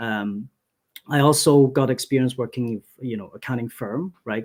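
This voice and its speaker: Ordinary pitch variation runs through a man's speech, delivered at a moderate pace. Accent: Cantonese. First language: Cantonese. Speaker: accountant. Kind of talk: webinar presentation. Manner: many filler words, halting.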